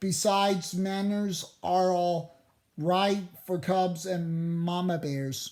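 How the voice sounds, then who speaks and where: A put-on character voice rumbles at a middle pitch. The pace is very slow. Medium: read story. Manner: grumbling.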